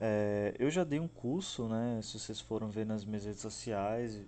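A man's dark, mellow tone sits fairly low in pitch, moving at a moderate pace with ordinary pitch variation. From Northeast Brazil, Aracaju, Sergipe. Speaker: psychologist and podcast host. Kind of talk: educational podcast talk on a book chapter. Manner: hesitant, frequent fillers.

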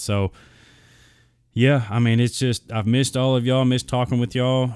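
A man with a Southern US accent. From Arkansas, US South. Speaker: podcast host. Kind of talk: casual solo podcast monologue. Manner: rambling, filler-heavy, casual.

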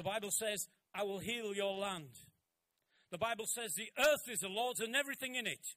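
The voice is raised and projected, with a bright, sharp, animated tone. Long pauses come often. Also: man, high pitch for a man, ordinary pitch variation, fairly quick pace. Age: 70s. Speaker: pastor. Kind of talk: sermon.

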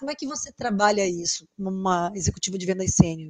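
A woman talks at a fairly quick pace with lively intonation. She has an ordinary speaking voice. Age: 40s. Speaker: sales consultant and podcast host. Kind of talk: casual interview chat.

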